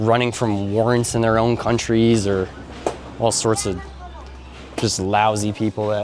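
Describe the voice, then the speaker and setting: A man with a Canadian accent speaks at a moderate pace in a fairly low pitch. His intonation is monotone and flat, and there is noticeable background noise. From Canada. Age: 30s. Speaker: vlogger. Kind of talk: casual vlog chat.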